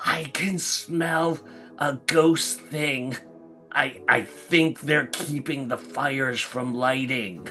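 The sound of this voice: In a put-on character voice, a man speaks very slowly, raspy and fairly high-pitched, with clear music in the background.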